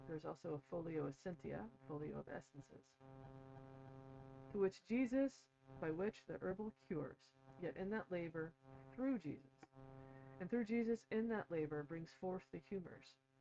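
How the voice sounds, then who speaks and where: A put-on character voice at middle pitch mumbles along at a moderate pace, broken by long, frequent pauses. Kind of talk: reading or explaining a text aloud, scholarly. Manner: mumbling.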